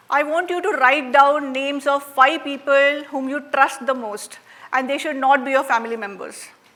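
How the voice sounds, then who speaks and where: In a Marathi Indian accent, a woman with a high pitch uses a raised, projected voice with fairly even intonation and big swings in loudness. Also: moderate pace. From India, Maharashtra. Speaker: workshop facilitator. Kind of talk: interactive workshop talk. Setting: stage with audience. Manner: conversational, frequent fillers.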